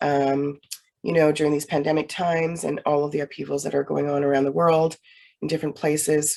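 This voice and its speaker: A woman speaks with a very deep, low pitch and a dark, mellow tone. Her pace is moderate and her intonation monotone and flat. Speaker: Reiki master and meditation facilitator. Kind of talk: guided meditation. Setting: recorded session for online viewers. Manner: halting, many fillers.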